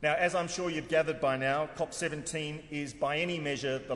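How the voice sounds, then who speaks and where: A man with an Australian accent, very fast pace, ordinary pitch variation and audible room echo. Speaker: head of an international convention secretariat. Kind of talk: formal conference speech. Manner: formal.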